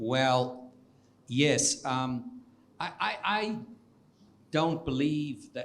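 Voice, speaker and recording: A man with a South African accent speaks with lively intonation. The room echo is audible. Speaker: economics professor. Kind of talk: Q&A after a public lecture. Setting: lecture hall with audience. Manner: halting with many repetitions.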